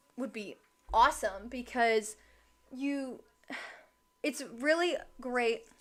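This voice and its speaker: At a very slow pace, a woman projects a raised voice in a high pitch with ordinary pitch variation. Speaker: true crime livestreamer. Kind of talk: live stream commentary. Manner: casual, some stumbling.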